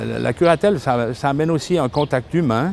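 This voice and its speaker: The man's voice sits fairly high in pitch. His intonation is lively. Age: 60s. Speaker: retired police officer, volunteer guardian. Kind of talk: testimony. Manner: halting, with repetitions and hesitations.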